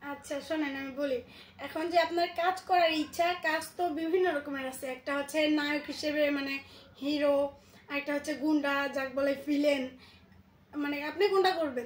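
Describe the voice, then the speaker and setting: A woman speaks in a high voice with fairly even intonation. There is audible echo in the room. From Bangladesh. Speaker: YouTuber doing prank phone calls. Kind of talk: prank phone call, casual. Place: home room. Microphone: phone near.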